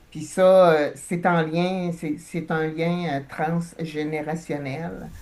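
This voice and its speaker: Very deep and low for a woman, her voice stays monotone and flat at a very slow pace. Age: 60s. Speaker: hypnosis client. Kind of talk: personal testimony. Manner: halting, many hesitations.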